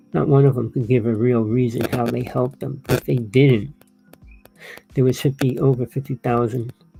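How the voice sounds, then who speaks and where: Music plays in the background as a man talks in an American accent. His intonation stays fairly even. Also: medium pitch for a man, moderate pace. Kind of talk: monologue to camera. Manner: rambling, conversational.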